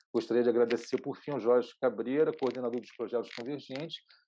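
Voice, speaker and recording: Speaking at a fairly quick pace, a man uses a medium pitch and a dark, mellow tone with fairly even intonation. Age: 60s. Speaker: video artist and producer. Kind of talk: online lecture. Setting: online session.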